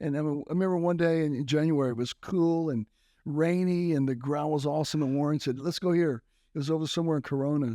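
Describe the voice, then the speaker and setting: A man with a Texan accent talks at a very fast pace in a fairly high pitch, his tone dark and mellow and his intonation fairly even, on a very clean recording with a silent background. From South Texas (McAllen). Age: 60s. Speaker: retired motocross racer and minister. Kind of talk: interview.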